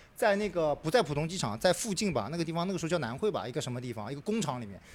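In a very clean recording with a silent background, a man speaks at a very fast pace. His high voice sounds animated, with very wide pitch swings. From Shanghai. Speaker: podcast host. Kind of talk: casual group chat.

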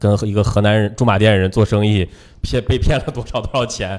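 A man's fairly low voice with ordinary pitch variation, at a fairly quick pace. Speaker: radio host and stand-up comedian. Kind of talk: casual chat.

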